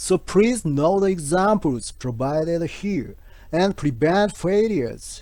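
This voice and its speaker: In a Japanese accent, this voice moves at a very slow pace with a dark, mellow tone and lively intonation. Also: man. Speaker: health channel creator. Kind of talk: scripted narration. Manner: careful, halting English.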